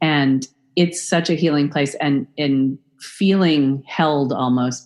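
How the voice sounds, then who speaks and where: A woman speaks with a very deep, low pitch and ordinary pitch variation. The background is quiet. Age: 50s. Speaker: author and body positivity organization co-founder. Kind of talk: interview.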